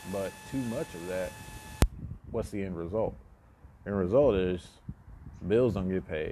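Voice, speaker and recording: Over noticeable background noise, a man in a relaxed tone speaks at a moderate pace with a very deep, low pitch, ordinary pitch variation, and long, frequent pauses. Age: 20s. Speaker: solo podcaster. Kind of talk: casual monologue. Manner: relaxed, filler-heavy.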